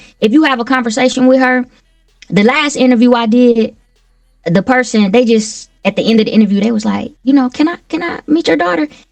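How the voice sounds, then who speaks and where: A woman's high-pitched voice carries ordinary pitch variation. Music plays in the background. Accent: slight Southern US. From Milwaukee, Wisconsin. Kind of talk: interview.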